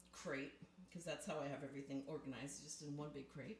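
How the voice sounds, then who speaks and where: Audible room echo surrounds a woman's voice. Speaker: ASMR and live-stream creator. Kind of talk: casual live-stream show and tell. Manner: close to the mic.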